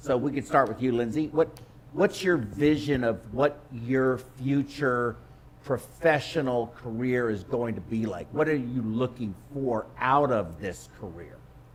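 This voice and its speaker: Over noticeable background noise, a man with a medium pitch and ordinary pitch variation speaks at a fairly slow pace. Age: 60s. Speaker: webinar host for perfusion professionals. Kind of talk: panel discussion on video webinar. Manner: halting, many fillers and repetitions.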